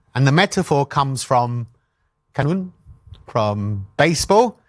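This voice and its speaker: A fairly high-pitched man with a London accent, in a very clean recording with a silent background. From London, England. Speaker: animation pitching coach. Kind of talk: workshop talk. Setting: stage with audience. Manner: hesitant, many fillers.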